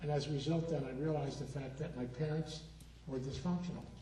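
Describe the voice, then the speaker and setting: Over noticeable background noise and audible room echo, a man with a fairly high pitch talks at a fairly quick pace with fairly even intonation. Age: 70s. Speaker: recovery speaker and therapist. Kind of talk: keynote talk. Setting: stage with audience.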